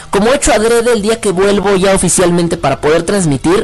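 Very fast, animated male speech with ordinary pitch variation over noticeable background noise. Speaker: internet radio host. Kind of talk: casual chat. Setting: online radio stream. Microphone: microphone configuration problems, sounds odd.

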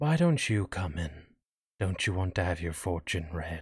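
In a put-on character voice, a man speaks softly and raspily at a very deep, low pitch, on a very clean recording with a silent background. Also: moderate pace. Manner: soft, inviting.

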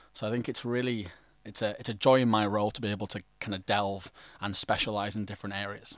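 Over a silent background in a very clean recording, a man with a London accent speaks at a very fast pace, fairly low in pitch, with monotone, flat intonation. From England. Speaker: startup ecosystem partnerships lead. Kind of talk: podcast interview.

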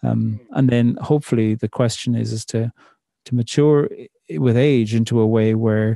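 Spoken with an Irish accent at a moderate pace, the voice has a dark, mellow tone and a dry, close sound with no echo. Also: man. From Ireland. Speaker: poet and theologian. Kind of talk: interview conversation.

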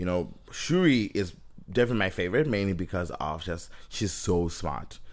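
With vocal fry and lively intonation, a man talks at a moderate pace in a very deep, low pitch. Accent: Zimbabwean. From Zimbabwe. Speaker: podcast co-host. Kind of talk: casual podcast chat about a movie.

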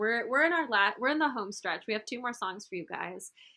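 On a very clean recording with a silent background, a woman speaks in a high voice with a bright, sharp tone. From Brazil. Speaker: podcast co-host. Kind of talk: casual chat.

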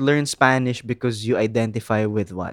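In a dry, close sound with no echo, a man speaks with a Filipino accent. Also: very clean recording, silent background. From Philippines. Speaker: podcast co-host. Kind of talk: casual chat.

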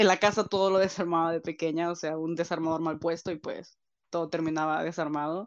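A woman with an unremarkable speaking voice talks at a moderate pace in a fairly low pitch with fairly even intonation against a quiet background. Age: 20s. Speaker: university law student. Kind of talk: interview testimony.

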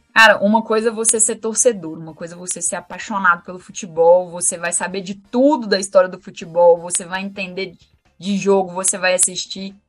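With an ordinary speaking voice, a woman talks at a fairly quick pace and medium pitch. Her intonation is fairly even, but her loudness swings a lot. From Minas Gerais, Brazil. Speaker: lawyer and women's football coordinator. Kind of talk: podcast interview.

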